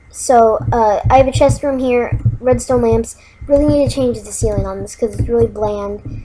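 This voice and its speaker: A woman speaks at a moderate pace, her loudness swinging widely. Noticeable background noise runs underneath. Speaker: gaming YouTuber. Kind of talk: gameplay commentary. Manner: hesitant, many fillers.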